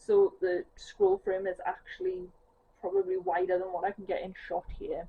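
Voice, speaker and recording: A woman at a moderate pace with a strong Geordie accent. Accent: thick Geordie. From northeast England. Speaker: cross-stitch vlogger. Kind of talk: casual chat. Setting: at home on sofa.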